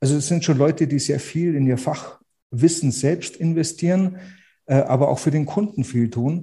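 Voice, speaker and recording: Over a quiet background, a man with a fairly high pitch and a dark, mellow tone speaks at a moderate pace, somewhat breathy, with ordinary pitch variation. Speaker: real estate agent. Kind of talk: interview conversation. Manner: repeats words, restarts.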